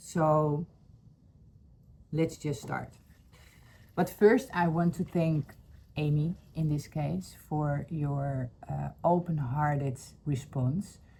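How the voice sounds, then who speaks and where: A woman's very deep, low voice with a Dutch accent, dark and mellow in tone, somewhat breathy, at a very slow pace with long, frequent pauses. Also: ordinary pitch variation. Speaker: spiritual healing vlogger. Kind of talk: personal testimony vlog. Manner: halting, many fillers.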